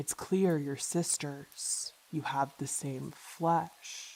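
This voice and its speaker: A put-on character voice comes at a very slow pace. Its tone is calm, and its pitch sits low to middle. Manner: eerie, calm.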